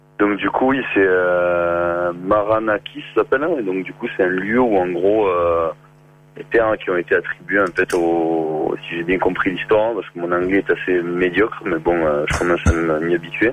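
With a southern French accent, a man speaks fairly slowly at a very deep, low pitch. His pitch varies in an ordinary way, and noticeable background noise is present. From southern France, near Béziers. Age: 30s. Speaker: working holiday traveller. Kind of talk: phone interview. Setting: phone call. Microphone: far from the phone.

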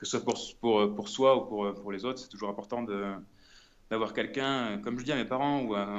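Heard with audible room echo, a man speaks at a fairly quick pace and medium pitch. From Brittany, France. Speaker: traveller, former cook. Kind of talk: remote interview. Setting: phone call from an apartment hallway. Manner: halting, many repetitions.

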